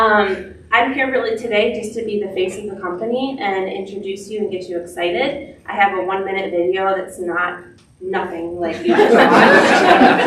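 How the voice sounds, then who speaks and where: A woman's medium-pitched voice with hardly any pauses, audible room echo and noticeable background noise. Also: ordinary pitch variation. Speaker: software company representative. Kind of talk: presentation to staff. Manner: fast.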